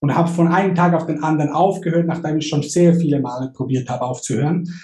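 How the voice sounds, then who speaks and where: This man has a high-pitched voice with a dark, mellow tone and ordinary pitch variation. Audible echo fills the room. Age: 30s. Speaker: online marketer and coach. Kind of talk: casual chat.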